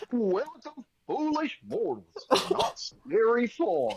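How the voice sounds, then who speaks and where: A put-on character voice, high-pitched, with very wide pitch swings and a very slow pace. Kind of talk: theme-park narrator. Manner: playfully spooky, theatrical.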